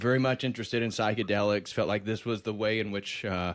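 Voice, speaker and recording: Recorded very cleanly against a silent background, a man talks fairly quickly. His voice is fairly low and monotone, with flat intonation. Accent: American. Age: 30s. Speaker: PhD student and religious YouTuber. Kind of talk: casual interview conversation.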